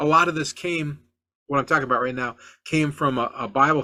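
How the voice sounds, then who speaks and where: A man with a bright, sharp, animated tone at a very fast pace, on a very clean recording with a silent background. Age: 60s. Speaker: car flipping podcast host. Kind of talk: podcast monologue. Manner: halting, frequent repetitions and fillers.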